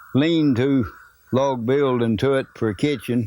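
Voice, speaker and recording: A man with a medium pitch and a dark, mellow tone speaks at a fairly slow pace. His intonation is fairly even, and the recording is very clean with a silent background. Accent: Ozark. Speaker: oral history narrator. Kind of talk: oral history interview. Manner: plain, folksy recollection.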